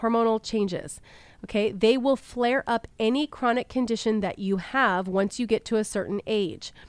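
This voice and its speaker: A woman with a plain, everyday voice speaks at a fairly high pitch and a moderate pace, with ordinary pitch variation, in a dry, close sound with no echo. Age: 40s. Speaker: podcast host. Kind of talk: personal health monologue.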